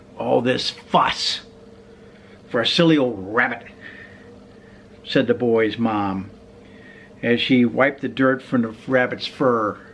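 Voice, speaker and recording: Amid noticeable background noise, a man at medium pitch talks at a very slow pace with long, frequent pauses and fairly even intonation. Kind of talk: children's storybook reading.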